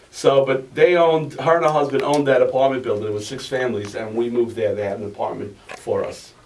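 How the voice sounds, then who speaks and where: Against noticeable background noise, a man at medium pitch talks very fast with hardly any pauses. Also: ordinary pitch variation. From Italy, then Astoria, Queens from age six. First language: Italian. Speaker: author. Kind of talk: interview. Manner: halting, many restarts.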